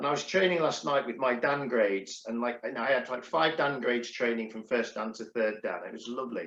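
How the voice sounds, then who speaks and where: Man with an English accent at medium pitch, ordinary pitch variation and hardly any pauses. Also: fairly quick pace. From England. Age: 60s. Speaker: karate instructor and podcast host. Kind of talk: casual chat. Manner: halting.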